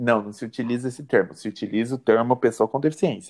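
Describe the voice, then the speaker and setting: A man at a medium pitch talks in a plain, everyday voice with fairly even intonation. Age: 20s. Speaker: law student. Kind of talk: interview.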